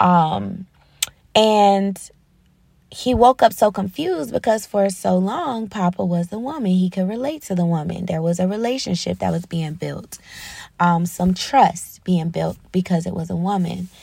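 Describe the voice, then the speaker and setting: A somewhat breathy voice with a dark, mellow tone moves at a fairly slow pace with ordinary pitch variation, on a very clean recording with a silent background. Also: woman, medium pitch for a woman. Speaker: faith podcast host. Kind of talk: solo faith talk. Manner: hesitant, many ums.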